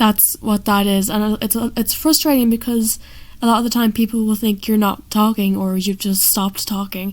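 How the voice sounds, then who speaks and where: A woman speaks with an Irish accent in a fairly high pitch. Her intonation stays fairly even at a moderate pace. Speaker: person who stammers, amateur cartoonist. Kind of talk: explaining own artwork. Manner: halting, with repetitions and fillers.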